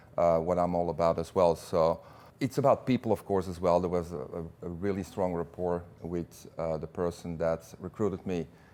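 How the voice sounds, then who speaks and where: This man has a very deep, low pitch and a dark, mellow tone, with a Belgian accent. His intonation is fairly even, and the background is quiet. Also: moderate pace. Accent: Belgian accent, noticeable. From Belgium. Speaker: business executive. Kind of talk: interview. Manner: hesitant, many fillers and repeats.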